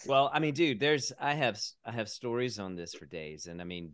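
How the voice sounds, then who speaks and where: Against a quiet background, a man with an American accent talks at a moderate pace. His voice has vocal fry and very wide pitch swings. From US South, North Carolina. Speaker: artist and arts conference organizer. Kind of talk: casual interview.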